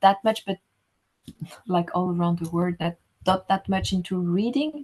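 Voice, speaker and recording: Somewhat breathy female speech, medium in pitch, with ordinary pitch variation. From Rwanda, Butare (southern Rwanda). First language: French (also Kinyarwanda). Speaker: writer. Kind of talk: interview conversation. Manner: halting, many fillers.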